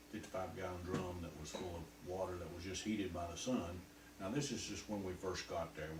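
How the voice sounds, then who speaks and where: Very deep, low male voice with a Southern US accent and ordinary pitch variation, over noticeable background noise. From North Carolina. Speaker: war veteran. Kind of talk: interview answer.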